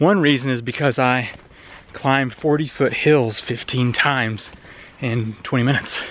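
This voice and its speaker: Long, frequent pauses break up a man's speech amid noticeable background noise. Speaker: homesteading YouTuber. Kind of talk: outdoor demonstration video. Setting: outdoors on a hillside.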